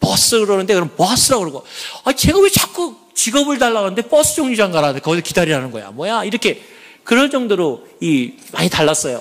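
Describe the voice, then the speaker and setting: A man at a high pitch, very fast pace and very wide pitch swings. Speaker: church elder giving testimony. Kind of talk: testimony. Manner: animated.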